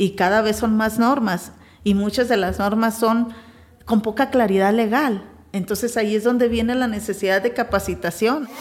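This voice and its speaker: A woman speaks at a moderate pace in an ordinary speaking voice, her pitch fairly high, her loudness very even and her intonation fairly even. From Mexico, Sinaloa (Navolato), later Tijuana. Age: 40s. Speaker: business leader. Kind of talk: interview testimony.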